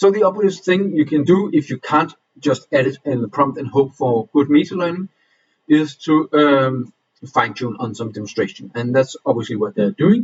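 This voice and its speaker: This man's voice sits fairly high and carries a non-native accent. His intonation is lively, and his delivery is somewhat breathy. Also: moderate pace. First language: not English. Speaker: reading group presenter. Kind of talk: presentation. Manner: halting, many fillers.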